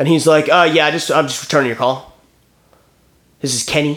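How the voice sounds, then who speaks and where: A loud man with an animated tone at a very fast pace. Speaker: podcast co-host. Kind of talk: casual banter, comedic chat. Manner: loud, animated.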